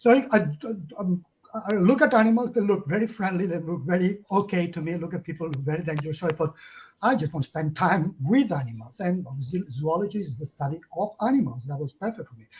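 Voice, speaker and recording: A man's high voice in a Catalan accent, very fast, with lively intonation and big swings in loudness. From Catalonia, Spain. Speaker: zoologist and animal protection campaigner. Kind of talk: interview. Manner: halting.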